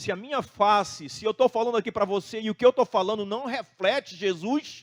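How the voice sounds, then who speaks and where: A high-pitched man with a Brazilian accent speaks at a moderate pace with ordinary pitch variation and big swings in loudness, in a dry, close sound with no echo. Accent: non-Santa Catarina Brazilian. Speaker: pastor. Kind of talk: sermon.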